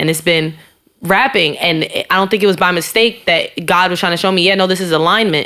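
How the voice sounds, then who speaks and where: Fairly quick delivery from a woman, medium in pitch and fairly even in intonation. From New York City, South Side Jamaica, Queens. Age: 20s. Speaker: rapper. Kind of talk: casual chat.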